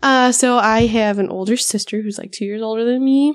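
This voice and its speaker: Speaking at a fairly quick pace with an American accent, the woman has a fairly high pitch and an unremarkable speaking voice. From Upper Midwest US (Minnesota, the Dakotas). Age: 20s. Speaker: podcast co-host, pregnant mother, wildlife biologist. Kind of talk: casual chat.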